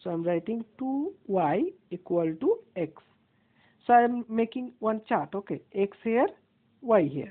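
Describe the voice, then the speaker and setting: A woman with an Indian accent speaks at a fairly high pitch with very wide pitch swings. Her pace is fairly slow, with long, frequent pauses. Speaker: maths teacher. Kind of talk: tutorial.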